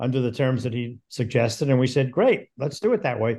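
This man has an unremarkable speaking voice with fairly high pitch and a fairly quick pace. The background is quiet. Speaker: podcast co-host, film producer. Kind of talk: casual interview chat.

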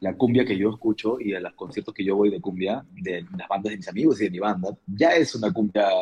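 A man with a dark, mellow tone and a fairly low pitch speaks at a moderate pace with lively intonation. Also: hardly any pauses. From Peru. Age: 30s. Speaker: musician. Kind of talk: casual interview.

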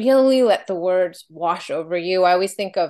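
A woman of medium pitch at a moderate pace. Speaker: podcast host and program founder. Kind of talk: casual interview conversation. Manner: warm, encouraging, enthusiastic.

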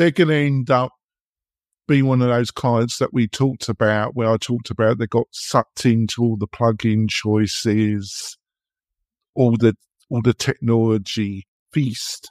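With an English accent, a man speaks at a fairly slow pace, medium pitch and fairly even intonation. The recording is very clean with a silent background and a dry, close sound with no echo. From England. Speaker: podcast host. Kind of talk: casual interview.

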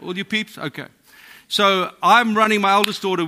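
In a very clean recording with a silent background, a man with a non-native accent speaks at a fairly quick pace in a bright, sharp tone. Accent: foreign accent, non-American. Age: 50s. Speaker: pastor. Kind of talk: sermon. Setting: church.

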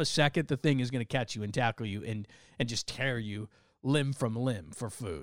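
A man with an American accent talks at a moderate pace in an animated tone with ordinary pitch variation, in a very clean recording with a silent background and a dry, close sound with no echo. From Southern California. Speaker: sports radio host and podcaster. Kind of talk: podcast monologue.

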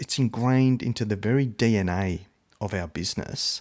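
Enthusiastic in tone, a man with an Australian accent talks at a fairly slow pace. The recording is very clean and dry, close, with a silent background and no echo. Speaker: podcast host. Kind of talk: interview.

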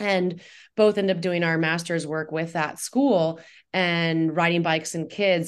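A woman with an American accent and a plain, everyday voice speaks at a fairly slow pace, fairly low in pitch, with fairly even intonation over a quiet background. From Indiana, US Midwest. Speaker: nonprofit executive director. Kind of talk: radio interview.

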